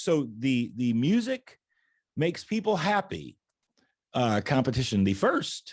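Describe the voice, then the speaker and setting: At a moderate pace, a man speaks at medium pitch with very wide pitch swings. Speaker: talk show host. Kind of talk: interview host talk.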